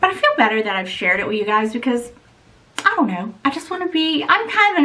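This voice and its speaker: Noticeable background noise surrounds a woman with a high pitch. She uses a raised, projected voice with very wide pitch swings. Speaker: beauty and luxury vlogger. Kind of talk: casual vlog talk to camera.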